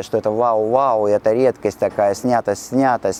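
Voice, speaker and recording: A man with a medium pitch and ordinary pitch variation sounds dry and close, with no echo, against noticeable background noise. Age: 50s. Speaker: perfume store host. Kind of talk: casual monologue on camera. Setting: outdoors on a city street.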